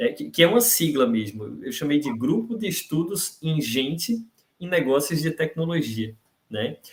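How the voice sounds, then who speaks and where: At a moderate pace, a man speaks with a somewhat breathy voice and a fairly high pitch. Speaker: university professor, invited speaker. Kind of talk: lecture. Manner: hesitant, repeats words.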